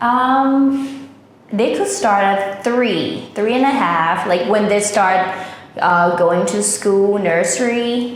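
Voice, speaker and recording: A woman speaks at a very slow pace with a Thai accent, her pitch medium and its variation ordinary. Her loudness stays very even, and there is noticeable background noise. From Thailand. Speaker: language teacher. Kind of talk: interview answer.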